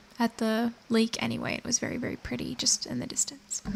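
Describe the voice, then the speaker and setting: A plain, everyday voice from a woman, pitched fairly high and moving at an average speed. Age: 20s. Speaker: video game streamer. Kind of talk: casual game stream chat, reading viewer comments.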